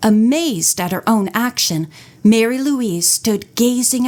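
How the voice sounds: This is a natural reading voice. That is all it shows.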